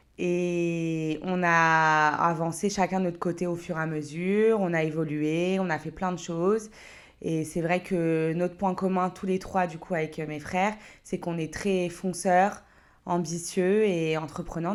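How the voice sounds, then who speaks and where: A woman speaks at a fairly slow pace with a fairly low pitch and fairly even intonation. The recording is very clean, with a silent background. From France, Paris region (Créteil). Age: 30s. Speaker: entrepreneur and mother. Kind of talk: podcast interview. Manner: hesitant, many fillers.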